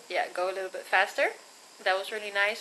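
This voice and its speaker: Light background noise sits behind a woman as she speaks. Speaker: vlogger. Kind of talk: casual vlog chat. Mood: relaxed, cheerful. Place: home room. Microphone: phone near.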